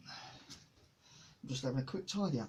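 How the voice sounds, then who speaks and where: Over noticeable background noise, a man mumbles in a relaxed tone with a fairly high pitch and lively intonation. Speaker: hobbyist painter and boat builder. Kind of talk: casual talk to camera. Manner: mumbling, relaxed, chatty.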